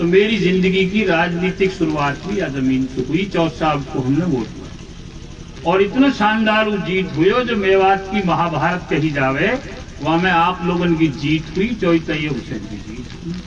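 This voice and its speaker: A man's lively intonation carries through audible room echo and noticeable background noise. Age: 60s. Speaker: politician. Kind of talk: political speech.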